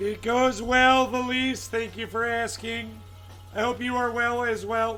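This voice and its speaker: Music plays in the background as a man speaks at a fairly slow pace amid audible room echo. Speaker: live streamer, gem cutter. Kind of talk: live stream chat and demonstration. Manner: casual, chatty.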